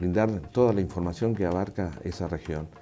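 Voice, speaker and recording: Music plays in the background behind a man whose pitch is very deep and low. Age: 60s. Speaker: radio broadcaster. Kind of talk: testimony.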